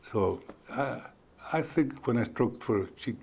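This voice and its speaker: This is a man speaking. He has an American accent. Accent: Mexican American South Texas English. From South Texas (Kingsville). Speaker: war veteran. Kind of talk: oral history interview. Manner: halting, with repetitions.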